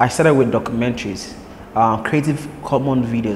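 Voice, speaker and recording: Fairly quick speech from a man over noticeable background noise. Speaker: podcast host. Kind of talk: interview.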